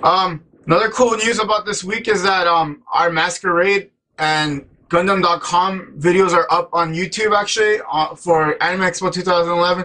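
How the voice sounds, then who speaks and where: A man's high, bright and sharp voice at a moderate pace. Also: fairly even intonation. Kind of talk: casual vlog news update. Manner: halting, stumbling.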